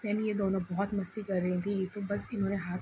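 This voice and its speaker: A woman of medium pitch talks at a fairly slow pace. Her intonation is monotone and flat. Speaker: vlogger, mother. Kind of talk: vlog narration. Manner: casual.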